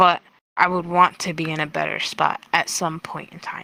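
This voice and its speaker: Her voice is fairly low for a woman, with a bright, sharp tone, vocal fry, and monotone, flat intonation at a moderate pace. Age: 20s. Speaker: VRChat interviewee. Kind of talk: casual interview answer.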